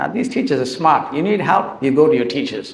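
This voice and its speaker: There is audible room echo as a man speaks with a non-native accent. His fairly high pitch moves in lively intonation. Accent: noticeable non-native. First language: Tamil. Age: 60s. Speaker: author and teacher. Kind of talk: talk to school students. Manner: emotional.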